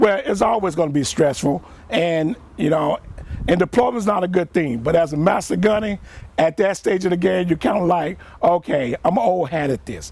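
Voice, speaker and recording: A man with a Mississippi accent speaks in a high pitch. His intonation is lively. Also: moderate pace. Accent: Southern US (Mississippi). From US South (Jackson, Mississippi). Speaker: retired Marine, war veteran. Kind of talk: interview.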